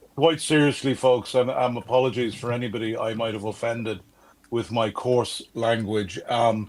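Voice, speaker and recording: A man with an Irish accent speaks at a medium pitch. His intonation stays fairly even. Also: moderate pace. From Ireland, South Dublin. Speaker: livestream fundraiser guest. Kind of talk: charity livestream appeal.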